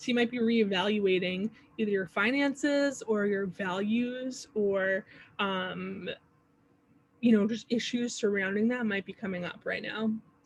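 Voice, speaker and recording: With an ordinary speaking voice, a woman talks at a fairly high pitch and fairly slow pace, her intonation fairly even. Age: 30s. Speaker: astrology teacher. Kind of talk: workshop. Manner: casual.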